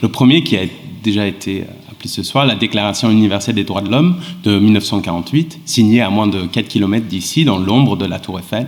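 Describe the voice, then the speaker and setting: With an English accent, a man talks at a fairly quick pace and with lively intonation over noticeable background noise. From England and Sweden. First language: English (speaking French). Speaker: law professor. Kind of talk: panel talk. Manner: halting.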